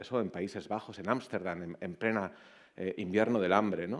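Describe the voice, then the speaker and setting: A man talks at a fairly quick pace, his pitch fairly low. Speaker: author and keynote speaker. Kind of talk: conference talk. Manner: fast.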